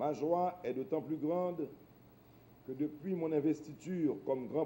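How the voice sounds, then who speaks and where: Over light background noise, a man speaks at a fairly slow pace with a dark, mellow tone and ordinary pitch variation. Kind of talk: formal speech. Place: hall.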